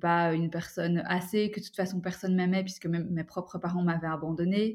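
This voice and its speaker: On a very clean recording with a silent background, a woman speaks at medium pitch. Her intonation is monotone and flat. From Belgium, Brussels. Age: 30s. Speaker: adoptee and coach. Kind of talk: testimony.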